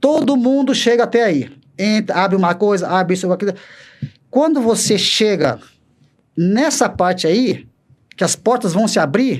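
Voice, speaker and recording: This man's voice sits high and moves with lively intonation at a moderate pace. His loudness stays very even, broken by long, frequent pauses. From Brazil, interior of São Paulo state. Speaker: former wrestling champion and coach, helicopter pilot. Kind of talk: motivational talk in podcast interview. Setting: studio. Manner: emphatic, repetitive.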